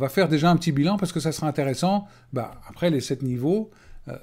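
Speaking at a fairly quick pace, the man has a dark, mellow tone and lively intonation. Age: 50s. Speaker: life coach. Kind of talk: webinar presentation. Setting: web conference recording. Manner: hesitant, many fillers. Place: home room. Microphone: webcam.

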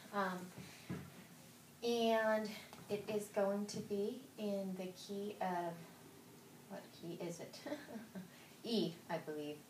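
Over noticeable background noise and audible room echo, a woman speaks at a medium pitch and a very slow pace, with fairly even intonation and long, frequent pauses. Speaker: piano teacher. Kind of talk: tutorial.

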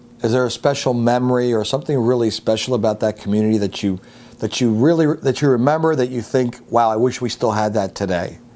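A man with an American accent and a dark, mellow tone speaks at a very fast pace. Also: ordinary pitch variation. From Upper Darby, Pennsylvania. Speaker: interviewer. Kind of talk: casual interview. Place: home room. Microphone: lapel.

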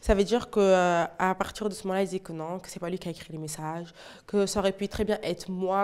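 A woman talks very fast at a medium pitch, her intonation monotone and flat. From Portugal. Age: 20s. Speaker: teaching assistant and youth activity leader; guest. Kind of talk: testimony. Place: studio. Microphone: lapel.

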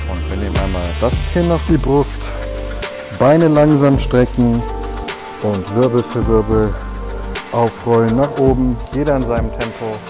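A man's fairly low voice at a fairly slow pace, with long, frequent pauses and clear music in the background. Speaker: fitness trainer. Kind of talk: workout instruction. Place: gym.

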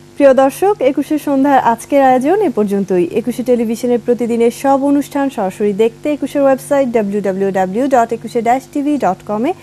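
With lively intonation and a high pitch, a woman speaks over noticeable background noise. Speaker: TV talk show host. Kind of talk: live TV interview.

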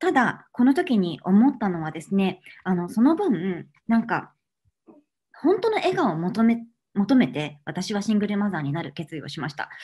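Somewhat breathy, a woman with a dark, mellow tone speaks with very wide pitch swings. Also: moderate pace. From Japan. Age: 30s. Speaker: cookery expert and cancer patient giving a talk; speaker. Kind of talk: online lecture. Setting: online video seminar. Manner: polite, formal with many fillers. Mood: warm, earnest. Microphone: webcam.

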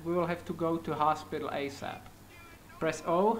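A man's high-pitched voice with a non-native accent at a moderate pace, with music in the background. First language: not English. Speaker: gaming youtuber. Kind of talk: gameplay commentary. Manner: animated.

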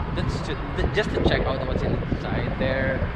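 A man talks at a fairly slow pace as loud background noise goes on. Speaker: travel vlogger. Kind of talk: casual vlog chat. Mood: excited, upbeat. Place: street. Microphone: phone near.

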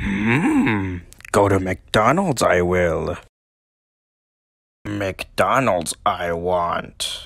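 Using a cartoonish character voice, a man talks at a fairly low pitch and a very slow pace with long, frequent pauses. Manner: deliberately poor, comedic.

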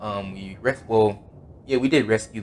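The speaker uses an unforced reading voice with ordinary pitch variation.

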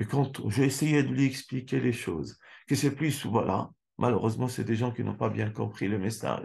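A man speaks with a medium pitch, ordinary pitch variation and vocal fry. The background is quiet. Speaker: Islamic lecturer. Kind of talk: religious lecture. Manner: slow. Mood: calm, earnest. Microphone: webcam.

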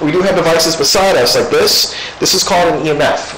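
Light background noise and audible room echo accompany speech delivered fairly quickly. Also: man. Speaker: ghost hunter. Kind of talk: addressing spirits during a ghost hunt. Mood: calm, reassuring. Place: church. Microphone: camera far.

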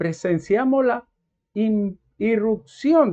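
Against a quiet background, a man speaks. His pitch variation is ordinary. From Dominican Republic. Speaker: commentator. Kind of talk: monologue. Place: home room. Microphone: lapel.

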